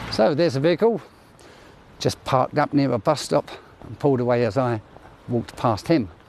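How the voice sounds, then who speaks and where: The speaker talks at a fairly quick pace with lively intonation. Long pauses break up the speech often. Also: man, medium pitch for a man. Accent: British. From UK. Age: 60s. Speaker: vlogger, military veteran. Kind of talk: walking vlog narration. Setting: outdoors at night, walking street. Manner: casual, conversational.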